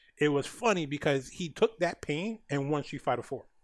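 On a very clean recording with a silent background, a man talks fairly quickly in a normal speaking voice at a fairly high pitch. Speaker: podcast host. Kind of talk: casual interview. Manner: filler-heavy, casual.

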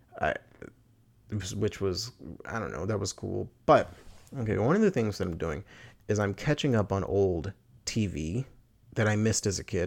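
On a very clean recording with a silent background, a man with a fairly low pitch speaks at a moderate pace with ordinary pitch variation and long, frequent pauses. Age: 20s. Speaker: podcaster. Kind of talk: casual monologue. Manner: rambling with frequent laughs and fillers.

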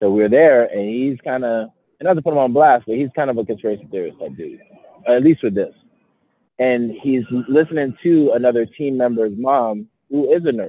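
A man's medium-pitched, ordinary speaking voice with an American accent, ordinary pitch variation, and a moderate pace. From New York City, the Bronx. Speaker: insurance agency owner. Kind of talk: casual interview.

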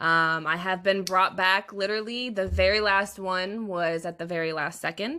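With an American accent, a woman talks at a moderate pace with fairly even intonation and hardly any pauses, her medium pitch carried in a normal speaking voice. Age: 20s. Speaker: streamer. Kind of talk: casual chat. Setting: video call.

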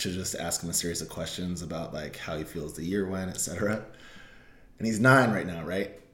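A man with a very deep, low pitch talks at a moderate pace with ordinary pitch variation. Audible room echo surrounds his voice. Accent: General American. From Colorado (Denver area). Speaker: podcast co-host. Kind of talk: casual chat.

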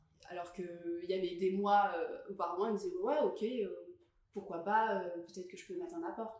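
Lively intonation from a woman at a moderate pace, with audible room echo. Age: 20s. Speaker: podcast guest, creative professional. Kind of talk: casual chat.

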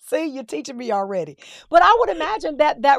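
A woman speaks in an animated tone. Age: 50s. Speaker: podcast host. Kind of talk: casual chat.

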